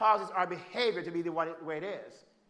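A man's raised, projected voice in a Jamaican accent, bright and sharp in tone, at a moderate pace. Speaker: preacher and family therapist. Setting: church stage with audience.

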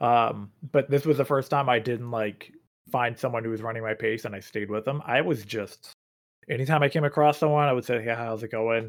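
Here a man speaks at a fairly quick pace with a medium pitch. The recording is very clean, with a silent background. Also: fairly even intonation. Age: 30s. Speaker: podcast host and obstacle course racer. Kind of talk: casual chat. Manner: hesitant, many fillers.

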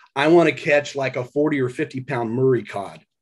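A man talks at a moderate pace with an American accent. His tone is animated and enthusiastic. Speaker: retired fireman and lure designer. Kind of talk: casual interview chat. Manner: animated, enthusiastic.

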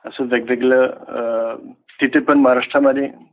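Here a man talks with a French accent at medium pitch. His intonation is monotone and flat. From France. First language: French (speaking Marathi). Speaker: researcher and French teacher. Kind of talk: interview. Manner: halting.

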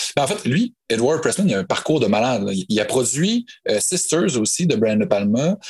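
Speaking at a moderate pace in a medium pitch, the man makes very wide pitch swings while keeping his loudness very even. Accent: Quebec. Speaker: podcast guest, horror film fan. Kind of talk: casual chat.

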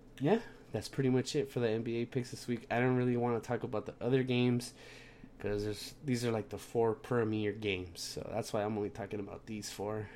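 A man speaks at a moderate pace with fairly even intonation. His voice is fairly low in pitch, with a slightly mellow tone.

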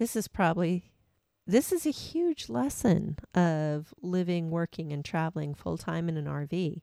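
A woman with a plain, everyday voice and an American accent speaks fairly slowly at a fairly low pitch with ordinary pitch variation, captured on a very clean recording with a silent background and a dry, close sound with no echo. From Washington State. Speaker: podcast co-host, full-time RVer. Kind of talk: casual chat. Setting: in an RV.

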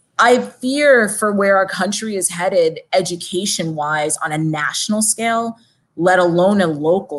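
A woman with an American accent speaks at a fairly slow pace. Her pitch is medium, with ordinary pitch variation. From Long Island, New York. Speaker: city council candidate. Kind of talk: interview.

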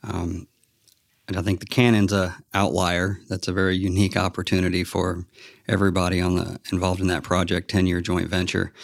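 In a very clean recording with a silent background, a speaker with an American accent talks at a fairly quick pace in a monotone, flat intonation. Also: man, very deep, low pitch for a man. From Texas. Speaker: construction manager. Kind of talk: interview. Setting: on-site office.

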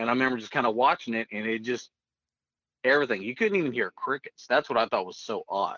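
At a very fast pace, a man with an American accent talks at a medium pitch with ordinary pitch variation. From northeastern Oklahoma. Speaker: air force veteran. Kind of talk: storytelling interview.

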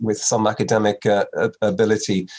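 A man speaks at a moderate pace in a Meath Irish accent. His intonation stays fairly even. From Ireland, Navan, County Meath. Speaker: dermatology professor. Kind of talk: interview.

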